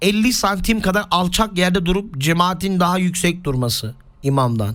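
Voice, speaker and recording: A man with a high pitch speaks at a very slow pace. His intonation is lively. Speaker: Islamic preacher. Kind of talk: religious lesson.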